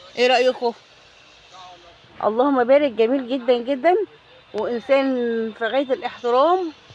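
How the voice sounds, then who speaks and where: A woman with a high voice speaks in an animated tone at a fairly slow pace, with ordinary pitch variation. Long, frequent pauses break up her speech over noticeable background noise. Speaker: shopping vlogger. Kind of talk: casual vlog.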